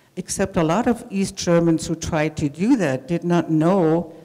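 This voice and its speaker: A woman at a fairly low pitch and a moderate pace, over noticeable background noise. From Germany. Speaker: immigrant storyteller. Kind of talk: storytelling talk.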